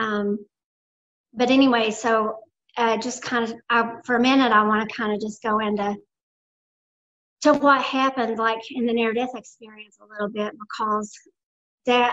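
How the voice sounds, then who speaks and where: A woman speaks in a Southern Appalachian accent at a moderate pace. Her voice is fairly high, with fairly even intonation. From US South, Blue Ridge Mountains. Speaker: near-death experience survivor. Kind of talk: interview testimony.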